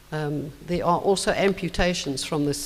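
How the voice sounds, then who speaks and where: The speaker talks at a moderate pace. Noticeable background noise can be heard. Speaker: symposium presenter on snakes. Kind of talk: conference presentation. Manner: animated.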